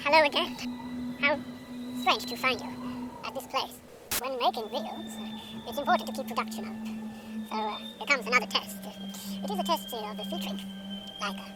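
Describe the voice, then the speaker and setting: In a put-on character voice, a female-sounding speaker talks at a fairly quick pace and fairly high pitch, with big swings in loudness, long, frequent pauses and clear background noise. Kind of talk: comic overacting. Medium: solo performance. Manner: pompous, hesitant, rambling.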